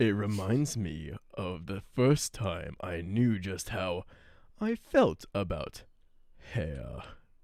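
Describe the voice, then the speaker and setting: Very slowly and in a low pitch, this put-on character voice drags out its words. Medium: role play. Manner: rhyming, sing-song.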